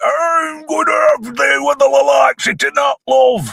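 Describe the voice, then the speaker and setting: In a put-on character voice with a Yorkshire accent, a man speaks high in pitch at a fairly slow pace. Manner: leering, cheeky.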